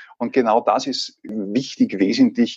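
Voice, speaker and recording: Against a quiet background, the speaker moves at a very slow pace with a slight Salzburg accent. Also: man. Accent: slight Salzburg Austrian. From Austria, Salzburg. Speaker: leadership trainer and coach, trained actor. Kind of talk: casual interview. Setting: remote recording.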